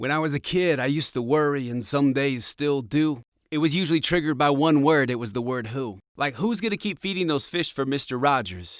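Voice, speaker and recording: A man at a fairly quick pace with lively intonation and hardly any pauses, in a very clean recording with a silent background. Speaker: spoken word artist. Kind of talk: spoken word poetry performance. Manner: rhythmic.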